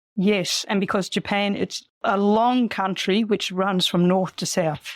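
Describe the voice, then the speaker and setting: Fairly slow and fairly even in intonation, a woman with an unremarkable speaking voice talks at medium pitch in a very clean recording with a silent background. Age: 60s. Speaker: solo cycle tourer. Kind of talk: interview answer.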